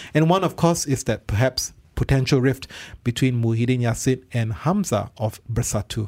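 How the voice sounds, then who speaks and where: A somewhat breathy man's voice at a medium pitch, with ordinary pitch variation, very even loudness and a moderate pace. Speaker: radio host. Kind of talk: news roundup discussion. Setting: radio studio.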